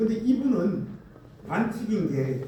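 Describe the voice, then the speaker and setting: A man speaks in a high voice, with audible room echo and noticeable background noise. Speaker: pastor. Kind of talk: sermon. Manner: animated.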